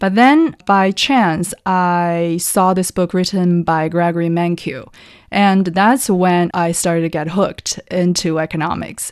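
A woman talks with a Chinese accent at a fairly slow pace. Her intonation is fairly even, over a quiet background. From China, Taiyuan (Shanxi). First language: Mandarin Chinese. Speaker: economist analyst. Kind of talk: interview conversation. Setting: studio.

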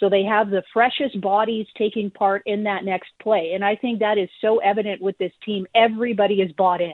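This woman has an unremarkable speaking voice, fairly high in pitch. She goes at a moderate pace. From Canada. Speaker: sports reporter. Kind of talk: radio interview.

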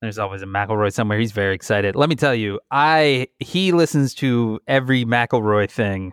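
The man has a fairly low pitch, ordinary pitch variation and a clear, smooth tone at a moderate pace. The recording is very clean with a silent background and a dry, close sound with no echo.

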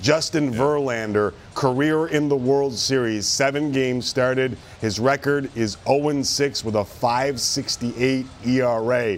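Noticeable background noise surrounds a man speaking. His pitch is medium, with ordinary variation. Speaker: sports talk show host. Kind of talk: casual sports talk show. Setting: studio. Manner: animated.

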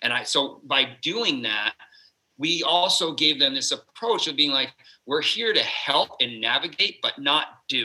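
A man with an American accent speaks at a fairly slow pace and fairly high pitch, with lively intonation. He has a plain, everyday voice. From Vermont, US. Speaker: fitness coach. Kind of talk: casual chat.

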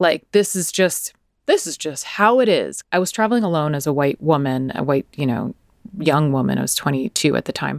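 A woman with an American accent and a normal speaking voice, fairly low in pitch, with lively intonation and a dry, close sound with no echo. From USA. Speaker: podcast co-host. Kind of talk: interview.

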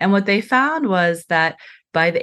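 A woman with an American accent at a fairly slow pace. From US, raised in an adoptive American family (born in South Korea). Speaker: professor of social work. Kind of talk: interview.

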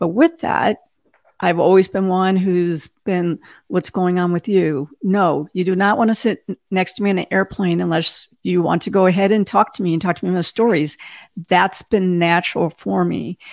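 A woman speaks in an ordinary speaking voice at medium pitch and a moderate pace, her intonation fairly even. The sound is dry and close, with no echo. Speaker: cybersecurity executive and podcaster. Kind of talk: casual interview. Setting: video call.

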